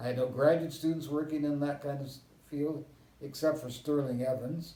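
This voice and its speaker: A man with a General American accent, fairly high pitch, a dark, mellow tone and a somewhat breathy voice, with audible room echo. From US West (Southern California and Kansas). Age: 80s+. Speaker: historian. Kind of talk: interview.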